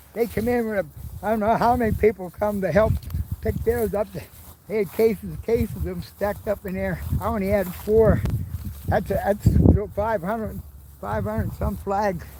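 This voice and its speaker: A man at a moderate pace with long, frequent pauses, against noticeable background noise. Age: 80s+. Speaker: war veteran. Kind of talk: casual chat. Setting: outdoors. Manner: halting.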